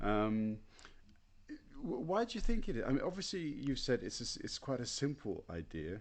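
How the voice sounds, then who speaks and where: Speaking at a moderate pace with a British accent, a man uses a fairly high pitch with very wide swings and some vocal fry. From Britain. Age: 40s. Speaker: podcast host and teacher. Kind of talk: interview. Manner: halting.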